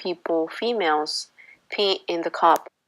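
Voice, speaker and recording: Here a woman speaks with a Spanish accent. Her pitch shows ordinary variation. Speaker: university student intern. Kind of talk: class presentation.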